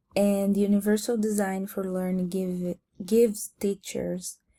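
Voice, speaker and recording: A woman with a non-native accent speaks at a fairly slow pace and medium pitch, with monotone, flat intonation. Her tone is dark, mellow and somewhat breathy, in a very clean recording with a silent background. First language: not English. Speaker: student. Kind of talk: class presentation. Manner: halting.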